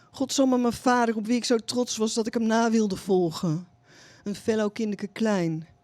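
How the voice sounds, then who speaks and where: Speaking at a moderate pace with a Dutch accent, a woman's fairly high voice comes through in a very clean recording with a silent background. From Netherlands. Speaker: poet and novelist. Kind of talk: poetry reading. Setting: coffee shop reading with audience. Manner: halting.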